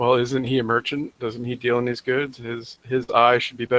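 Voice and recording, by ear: Natural-voiced reading aloud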